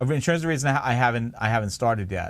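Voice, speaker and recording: A man with a Long Island accent at a very fast pace, with a medium pitch and ordinary pitch variation. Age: 40s. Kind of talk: casual chat. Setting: live stream from home basement.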